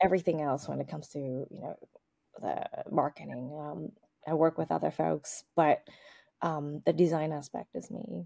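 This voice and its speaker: In a very clean recording with a silent background, a woman talks with an American accent at a moderate pace. The sound is dry and close with no echo, and her loudness swings widely. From Boston, Massachusetts, US. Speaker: lingerie brand founder and designer. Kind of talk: interview.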